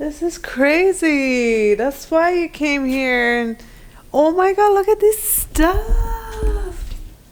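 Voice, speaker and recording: A woman's extremely high voice at a very slow pace, with very wide pitch swings and noticeable background noise. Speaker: vlogger. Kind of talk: casual vlog chat. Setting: self-storage unit.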